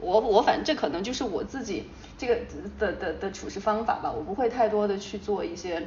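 A woman with a fairly high voice talks at a fairly quick pace with lively intonation over noticeable background noise. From Sichuan, China. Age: 30s. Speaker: marketing company founder. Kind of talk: casual interview chat.

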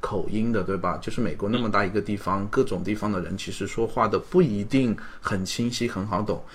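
A fairly low male voice with ordinary pitch variation and hardly any pauses, in audible room echo. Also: fairly quick pace. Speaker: podcast host. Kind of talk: casual interview; scripted intro.

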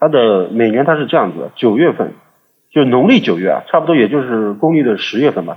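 This man has a plain, everyday voice at a medium pitch. He talks at a fairly quick pace with lively intonation. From China, Suzhou. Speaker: podcast guest. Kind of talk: casual chat.

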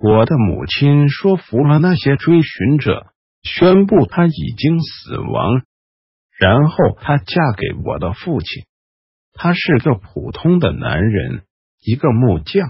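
A hoarse, put-on character voice comes through in a whisper. The pace is fairly slow. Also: man. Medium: audio drama. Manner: bitter, sardonic, low.

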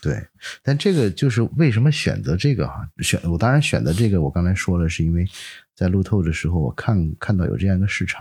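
On a very clean recording with a silent background, a man speaks in a very deep, low, somewhat breathy voice. His pace is fairly quick and his pitch swings very widely. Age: 40s. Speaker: photographer and entrepreneur. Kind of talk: casual interview chat.

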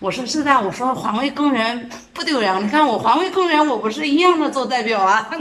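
A woman's high, lively voice at a fairly quick pace, with audible room echo and noticeable background noise. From Jiangsu, China. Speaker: street cleaning team leader. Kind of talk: interview.

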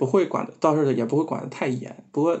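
A man speaks in a fairly high-pitched voice. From Xinjiang, China. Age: 20s. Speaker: game developer. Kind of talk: casual chat.

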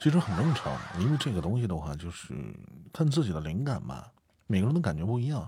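Speaking at a very fast pace, a man uses a fairly low pitch with very wide swings, his tone dark, mellow and somewhat breathy. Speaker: amateur audiobook narrator. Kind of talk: casual chat. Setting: live stream co-host call.

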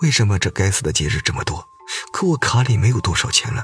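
The reading voice is unforced. Its intonation rises and falls in a lively way.

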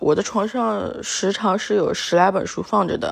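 A woman's relaxed voice with vocal fry, moderate pace and a slight northeastern Chinese accent. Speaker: solo podcaster. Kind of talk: casual monologue. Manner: relaxed, with many fillers.

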